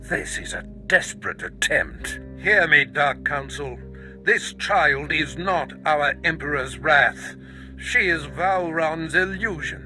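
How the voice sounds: A man's put-on character voice, fairly high in pitch, bright and sharp in tone, slow in pace and lively in intonation, over faint music in the background.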